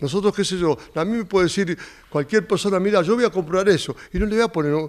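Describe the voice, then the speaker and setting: The background is quiet as a man talks at a fairly quick pace. His intonation is lively. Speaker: auction organizer. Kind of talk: promotional interview. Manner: repetitive, stammering, folksy. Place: home room. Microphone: handheld.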